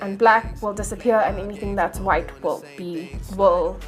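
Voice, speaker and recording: Speaking in a Johannesburg accent, a woman keeps a moderate pace. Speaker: video editing tutorial maker. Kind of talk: tutorial voice-over commentary. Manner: casual, hesitant.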